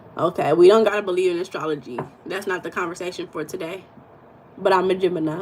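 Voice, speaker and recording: A woman at medium pitch, very fast in pace, with big swings in loudness and noticeable background noise. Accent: American. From United States. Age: 40s. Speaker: mindset and spiritual coach, livestream host. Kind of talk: live-stream chat with viewers. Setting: live stream with chat. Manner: animated.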